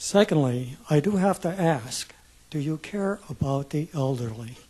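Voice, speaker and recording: The voice has a dark, mellow tone and is somewhat breathy. Its intonation is lively and its pace fairly slow. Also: man, fairly high pitch for a man. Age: 70s. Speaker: retiree, public commenter. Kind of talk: public testimony. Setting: public hearing room with audience.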